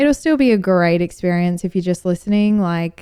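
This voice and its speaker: A woman with an Australian accent speaks at a moderate pace with lively intonation against a quiet background. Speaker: podcast host and brand marketer. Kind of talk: casual monologue. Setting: at home on the couch.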